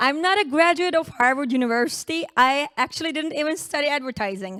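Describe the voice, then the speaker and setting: Talking very fast, a woman projects a raised voice at a high pitch. Her tone is bright and sharp, and her intonation is lively. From Turkey. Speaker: conference speaker, former oral surgeon. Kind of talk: conference talk. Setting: stage with audience at a conference.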